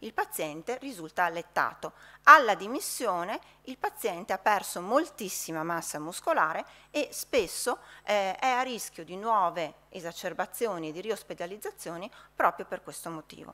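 A woman's bright, sharp voice shows big swings in loudness. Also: moderate pace. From Verona, northern Italy; northern Italy. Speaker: hospital physician; conference presenter. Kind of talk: conference talk. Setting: conference hall with audience. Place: hall. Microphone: podium.

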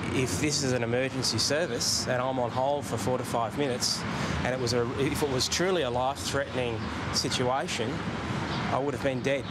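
Loud background noise sits under the voice. The pace is fairly quick. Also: man. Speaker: witness. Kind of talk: interview answer. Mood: annoyed, indignant. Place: street. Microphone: handheld.

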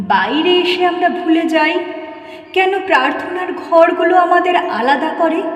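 The speaker is a woman. There is noticeable background noise. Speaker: reciter. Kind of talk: poetry reading.

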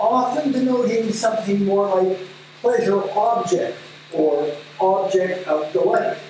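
A man speaks at a fairly slow pace in a high pitch with lively intonation. Strong room echo surrounds him, along with light background noise. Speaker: speaker reading a scholarly text aloud. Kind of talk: academic reading. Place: meeting room.

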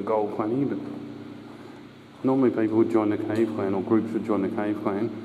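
Noticeable background noise sits under a man talking at a fairly quick pace with fairly even intonation. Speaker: drain explorer guide. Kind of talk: casual walking commentary. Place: tunnel cave. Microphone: phone near.

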